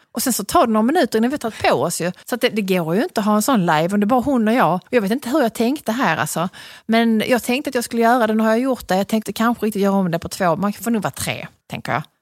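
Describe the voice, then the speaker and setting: A woman with a Scanian accent, fairly high-pitched and lively in intonation, at a very fast pace in a dry, close sound with no echo. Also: very clean recording, silent background. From Skåne, southern Sweden. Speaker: podcast host. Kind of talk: casual chat. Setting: studio.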